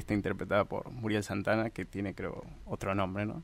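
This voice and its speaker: In a Rioplatense accent, a man with a fairly low pitch speaks on a very clean recording with a silent background. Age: 30s. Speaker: filmmaker and screenwriter. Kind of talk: radio interview.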